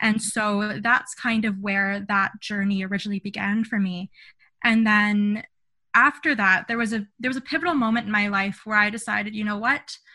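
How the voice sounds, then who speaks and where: Against a quiet background, a woman with a Canadian accent speaks at a moderate pace in a fairly high pitch, with ordinary pitch variation and a bright, sharp tone. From Ontario, Canada. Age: 20s. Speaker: mental health advocate and public speaker. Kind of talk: interview.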